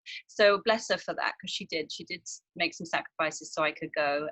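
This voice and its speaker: With a southern English accent, a woman talks in a bright, sharp tone with lively intonation, and the sound is dry and close with no echo. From southern England, near Brighton. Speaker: actress. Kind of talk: casual interview chat. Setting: outdoors.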